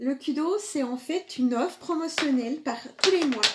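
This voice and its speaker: This woman has a strong Franche-Comté accent and a high-pitched voice, and she talks at a fairly slow pace. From eastern France, Franche-Comté. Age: 40s. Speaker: makeup seller and live streamer. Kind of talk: live makeup tutorial with sales talk. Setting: live video stream. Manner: hesitant, many filler sounds.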